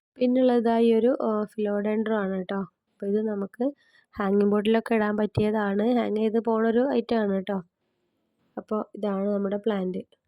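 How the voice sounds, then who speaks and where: Soft-spoken and flat in a monotone, a woman talks with a dark, mellow tone. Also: fairly high pitch for a woman. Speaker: home plant nursery seller. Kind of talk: sales pitch.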